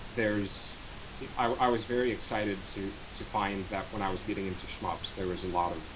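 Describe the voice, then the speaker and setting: A man with an American accent, a fairly low pitch and fairly even intonation, over noticeable background noise. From North Dakota, US. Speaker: rhythm game player; interviewee. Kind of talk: casual interview. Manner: halting, repeats words. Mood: relaxed, smiling. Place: home room. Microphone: studio mic.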